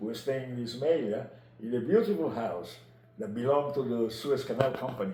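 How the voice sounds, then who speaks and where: Speaking at a moderate pace and medium pitch, a man is heard with audible room echo and noticeable background noise. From Egypt (Italian family), later Naples, Italy. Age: 80s+. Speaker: retired biologist telling his life story. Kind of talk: interview. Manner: halting.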